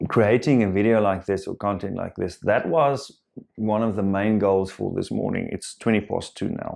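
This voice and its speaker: A man speaks with a South African accent. His pitch is fairly low, with ordinary variation. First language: Afrikaans. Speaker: self-help vlogger. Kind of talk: personal reflective monologue. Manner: halting, many fillers and repetitions.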